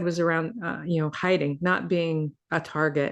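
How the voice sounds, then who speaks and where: At a moderate pace over a quiet background, a woman talks in a normal speaking voice with a fairly low pitch. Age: 60s. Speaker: healing and wellness mentor. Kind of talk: podcast interview.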